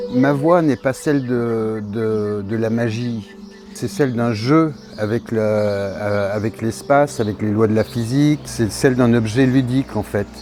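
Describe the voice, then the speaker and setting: A man's medium-pitched voice at a very slow pace, with ordinary pitch variation and noticeable background noise. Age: 60s. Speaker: sculptor. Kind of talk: interview. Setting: artist's studio. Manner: halting, many hesitations.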